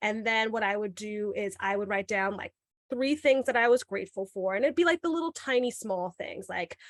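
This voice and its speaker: The delivery is fairly quick, with lively intonation and a slight New York accent. The sound is dry and close, with no echo. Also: woman, fairly high pitch for a woman. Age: young. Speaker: podcast host and middle school teacher. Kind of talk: podcast interview.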